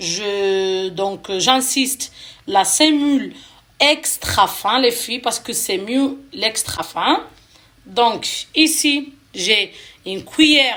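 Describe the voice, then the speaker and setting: Speaking at a very slow pace, a woman uses lively intonation. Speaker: cooking vlogger. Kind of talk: cooking tutorial. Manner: hesitant, many fillers.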